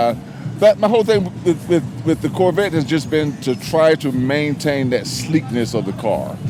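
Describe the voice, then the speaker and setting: With music in the background, a man in a fairly high voice speaks at a moderate pace with lively intonation. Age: 60s. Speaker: car owner, military veteran. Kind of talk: casual interview.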